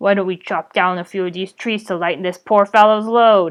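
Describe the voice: A woman's put-on character voice at medium pitch and a fairly quick pace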